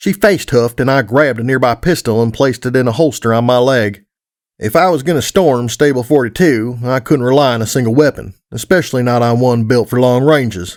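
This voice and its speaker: A man with a plain, everyday voice speaks at a medium pitch and a fairly quick pace, with ordinary pitch variation. His loudness stays very even, and the recording is very clean with a silent background. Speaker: audiobook narrator. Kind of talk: audiobook fan fiction narration.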